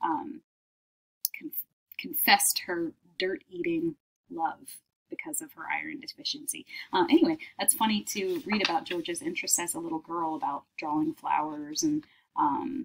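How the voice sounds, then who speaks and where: A woman speaks at a moderate pace with a high pitch and very wide pitch swings. Her pauses are long and frequent, and background noise is noticeable. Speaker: teacher. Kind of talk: reading aloud a children's book with comments. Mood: warm, lightly amused. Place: home room. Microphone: webcam.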